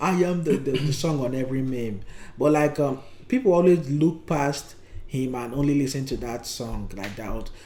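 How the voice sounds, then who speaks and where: A man with a Nigerian accent speaks in a dark, mellow tone at a fairly high pitch, with ordinary pitch variation and audible room echo. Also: moderate pace. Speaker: podcast co-host. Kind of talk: casual chat. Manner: halting, with frequent fillers.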